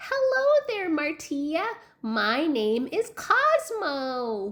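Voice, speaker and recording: A woman puts on a character voice with high pitch. She speaks at a very slow pace. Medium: read story. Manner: slow and steady.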